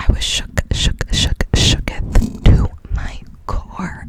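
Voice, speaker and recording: Against noticeable background noise, a woman whispers. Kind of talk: casual talk to camera, ASMR chat about movies. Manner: whispered.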